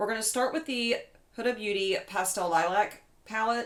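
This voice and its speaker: With a slight West Virginia accent, a woman talks at a fairly slow pace and ordinary pitch variation. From West Virginia, Eastern Panhandle. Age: 30s. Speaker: beauty vlogger. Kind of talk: casual chat. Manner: casual, chatty.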